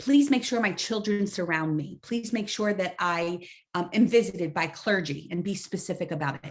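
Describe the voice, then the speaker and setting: At a medium pitch and moderate pace, a woman speaks in a somewhat breathy voice with ordinary pitch variation. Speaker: social worker and health educator. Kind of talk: webinar lecture.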